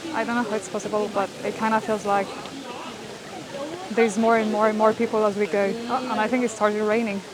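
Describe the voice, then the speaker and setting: Over noticeable background noise, a woman speaks very fast in a fairly high, monotone voice with flat intonation, broken by long, frequent pauses. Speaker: travel vlogger. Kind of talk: travel vlog narration. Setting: outdoors. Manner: whispering.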